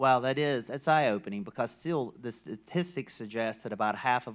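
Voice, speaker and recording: An ordinary speaking voice with an American accent goes at a fairly quick pace with ordinary pitch variation, on a very clean recording with a silent background. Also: man. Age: 60s. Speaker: panel moderator. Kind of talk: conference panel discussion.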